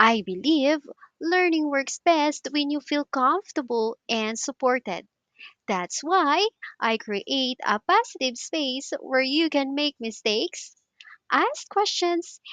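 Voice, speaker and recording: Very slow speech from a woman, high-pitched with very wide pitch swings and a warm tone, against a quiet background. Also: dry, close sound with no echo. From Philippines. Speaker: English teacher. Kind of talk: tutor self-introduction to camera. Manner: warm, friendly.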